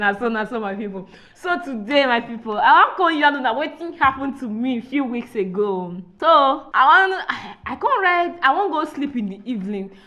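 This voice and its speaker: A woman with a high pitch uses a raised, projected voice and very wide pitch swings at a moderate pace. Noticeable background noise is present. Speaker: podcast host. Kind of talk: casual podcast conversation.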